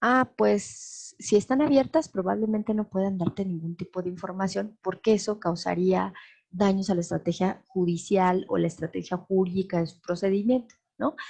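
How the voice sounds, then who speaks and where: A woman speaks at a medium pitch with lively intonation. Her tone is dark, mellow and somewhat breathy, at a moderate pace. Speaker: law lecturer. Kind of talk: lecture. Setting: live webinar.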